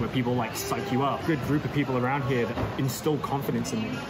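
A man talks at a very fast pace. Music plays clearly in the background. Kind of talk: interview answer. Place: gym. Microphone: phone near.

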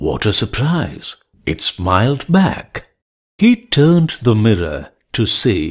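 Against a quiet background, the recording carries an unforced reading voice.

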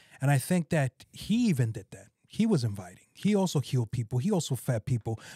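A man with a dark, mellow, somewhat breathy tone talks at a fairly quick pace with very wide pitch swings, the sound dry with no echo and the background quiet. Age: 30s. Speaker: pastor. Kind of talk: casual chat. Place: studio. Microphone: studio mic.

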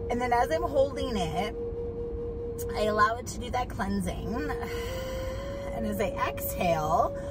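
Over music in the background, a woman talks at a moderate pace, the sound dry with no echo. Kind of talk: casual vlog chat, guided instruction. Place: car. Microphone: phone near.

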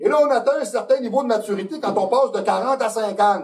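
Over clear music in the background, a man talks at a fairly quick pace in a Quebec accent. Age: 50s. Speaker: fitness coach and video host; fitness coach, video host. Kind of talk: casual talk show monologue. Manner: direct, opinionated. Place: studio.

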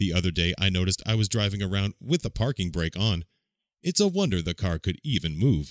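In a dry, close sound with no echo on a very clean recording with a silent background, a man speaks fairly quickly with a very deep, low pitch, ordinary pitch variation and very even loudness. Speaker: narrator. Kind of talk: language-learning phrase reading.

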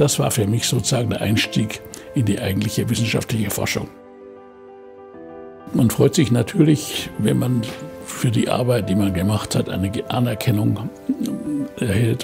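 A man at a moderate pace with long, frequent pauses and ordinary pitch variation, clear music in the background. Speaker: Nobel laureate chemist. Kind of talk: interview answer. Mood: warm, reflective, smiling. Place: home room.

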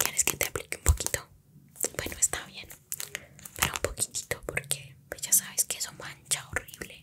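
A soft-spoken woman whispering in a gentle tone at a moderate pace. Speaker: ASMR roleplay creator. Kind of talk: soft-spoken ASMR roleplay chat. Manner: gentle ASMR whisper, offering. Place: home room.

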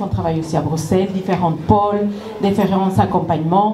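A woman with a Spanish accent is heard over light background noise, with audible room echo. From Ecuador. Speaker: nonprofit director. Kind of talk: welcome speech. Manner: halting. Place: stage. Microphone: handheld.

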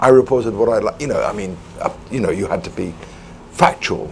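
Over noticeable background noise, a man with a medium pitch speaks at a fairly quick pace with fairly even intonation. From Wales. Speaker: former foreign correspondent. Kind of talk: panel discussion.

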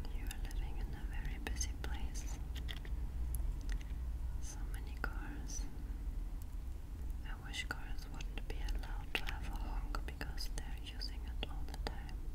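A woman talks at a fairly slow pace. Her speech has long, frequent pauses. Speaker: ASMR creator. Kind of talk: ASMR roleplay, personal attention.

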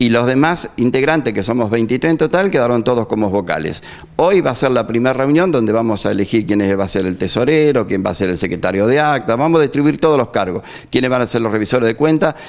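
A man speaks at a very fast pace. His intonation is lively. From Argentina. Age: 60s. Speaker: neighbourhood association president. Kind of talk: street interview. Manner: halting. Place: studio. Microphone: handheld.

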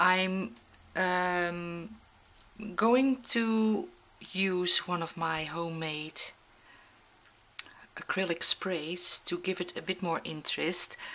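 With a non-native accent, a woman speaks at a very slow pace in a fairly low pitch, using ordinary pitch variation. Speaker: mixed media artist. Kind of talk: craft tutorial narration. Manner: hesitant, many filler sounds.

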